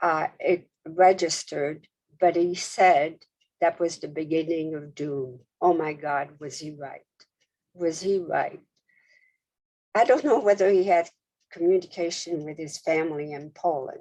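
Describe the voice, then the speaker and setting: Speaking at a fairly slow pace with long, frequent pauses, a woman with a fairly low pitch and a dark, mellow tone shows ordinary pitch variation and big swings in loudness. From France, Paris. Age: 80s+. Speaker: Holocaust survivor. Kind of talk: testimony. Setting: video call.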